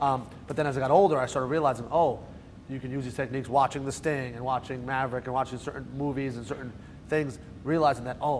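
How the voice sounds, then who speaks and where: With a New Jersey accent, a man speaks very fast at a fairly high pitch and with fairly even intonation, and audible room echo surrounds him. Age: 30s. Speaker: magician. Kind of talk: lecture. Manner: casual, joking.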